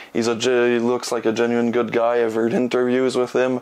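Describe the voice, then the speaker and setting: A man's medium-pitched voice in a Quebec accent. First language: French. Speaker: film reviewer. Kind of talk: casual video monologue. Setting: in his room. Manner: halting, many fillers.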